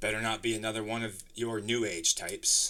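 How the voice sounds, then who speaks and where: Putting on a character voice, a man speaks at a fairly quick pace in a raspy, gravelly, medium-pitched monotone with flat intonation. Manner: sighing, clear and concise.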